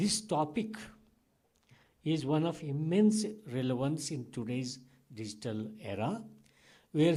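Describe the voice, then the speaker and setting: A man's fairly high yet dark, mellow voice, fairly slow and full of very wide pitch swings, with audible room echo. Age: 70s. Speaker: academic speaker at a conference. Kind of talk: conference plenary remarks. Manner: halting with many fillers.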